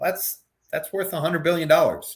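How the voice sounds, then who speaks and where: Very fast speech from a man with a somewhat breathy voice. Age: 50s. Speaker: macro strategist. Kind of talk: interview. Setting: live stream. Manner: halting.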